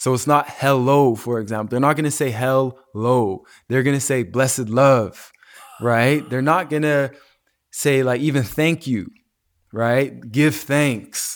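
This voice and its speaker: Here a man speaks in a plain, everyday voice at a medium pitch. His pace is fairly slow, with ordinary pitch variation. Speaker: wellness entrepreneur and retreat organizer. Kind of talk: casual interview.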